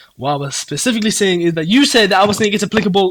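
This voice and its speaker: A man's high-pitched voice at a very fast pace. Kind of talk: heated debate. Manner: halting.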